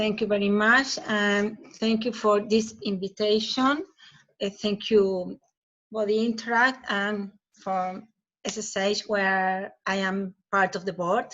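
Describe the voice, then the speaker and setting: Speaking very slowly with a Chilean accent, a woman uses a medium pitch and fairly even intonation. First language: Spanish. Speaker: professor. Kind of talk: conference presentation. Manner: halting.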